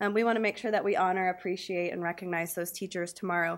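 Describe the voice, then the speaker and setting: Speaking at a very fast pace, a woman keeps her intonation fairly even. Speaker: teacher presenting. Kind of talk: public presentation. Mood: warm, slightly nervous. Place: meeting room. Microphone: podium.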